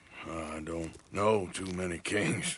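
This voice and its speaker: Putting on a character voice, a man speaks in a raspy, very deep, low pitch with monotone, flat intonation. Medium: video game. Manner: gruff, laconic drawl.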